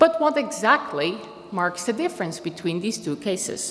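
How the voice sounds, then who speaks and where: In a Dutch accent, the voice makes very wide pitch swings amid noticeable background noise and audible room echo. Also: woman. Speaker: philosophy professor. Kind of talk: conference talk. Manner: formal.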